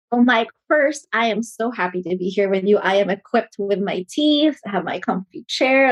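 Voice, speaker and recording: Her medium-pitched voice moving at a fairly quick pace, a woman speaks in a dry, close sound with no echo. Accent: Filipino. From Philippines. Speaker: management consultant, company CEO. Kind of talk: interview.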